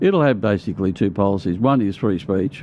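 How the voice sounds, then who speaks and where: A man races along at a very fast pace in a fairly low voice whose pitch varies in an ordinary way. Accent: Australian. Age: 70s. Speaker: conservative activist and union organiser. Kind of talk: casual interview chat. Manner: halting, repetitive.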